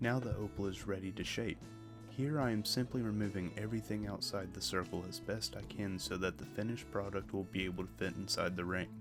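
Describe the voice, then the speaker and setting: With music in the background, a soft-spoken man talks at a fairly quick pace and a fairly low pitch. His tone is calm, with ordinary pitch variation. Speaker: lapidary hobbyist / gem cutter. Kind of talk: relaxing instructional narration. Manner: soft-spoken, calm.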